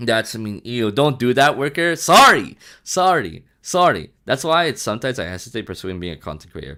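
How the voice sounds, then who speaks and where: Over a very clean, silent background, an animated man with a bright, sharp tone and vocal fry talks fairly quickly with hardly any pauses, his pitch swinging very widely and his loudness rising and falling sharply. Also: medium pitch for a man. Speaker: streamer. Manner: loud, animated.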